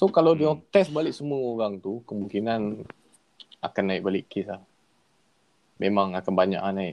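Speaking at a moderate pace with lively intonation, a man with a fairly low pitch leaves long, frequent pauses. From Kedah, Malaysia. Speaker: podcast guest. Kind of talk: casual chat. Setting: remote call with earphones.

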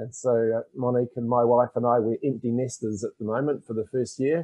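A man's medium-pitched voice in a New Zealand accent at a fairly quick pace. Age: 50s. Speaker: financial education author. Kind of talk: interview.

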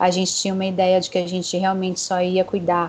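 A woman speaks at a medium pitch. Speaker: clinical psychologist. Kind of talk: interview. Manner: talkative.

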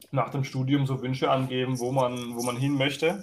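Monotone, flat intonation at a moderate pace. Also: man. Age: 20s. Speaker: water police officer and gaming league admin. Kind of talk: casual chat.

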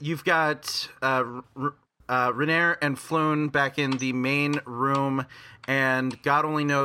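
Intonation stays fairly even throughout this natural reading voice.

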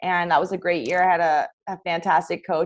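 With a Canadian accent, a woman talks at a fairly quick pace in a fairly low pitch and an unremarkable speaking voice over a quiet background. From Ontario, Canada. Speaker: college hockey player. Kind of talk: casual interview.

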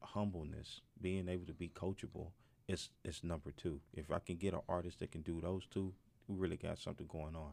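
A man with a Southern US accent speaks at a very deep, low pitch with a dark, mellow tone. His intonation is monotone and flat, his pace fairly quick. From Mississippi. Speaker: music executive and promoter. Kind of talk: casual interview. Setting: studio.

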